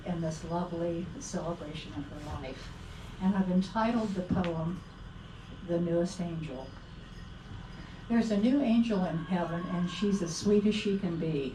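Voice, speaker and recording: A soft-spoken woman talks at a moderate pace in a fairly low pitch, with ordinary pitch variation and long, frequent pauses. There is noticeable background noise and audible room echo. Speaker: memorial speaker reading her own poem. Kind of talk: reading aloud. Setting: memorial gathering with audience and microphone.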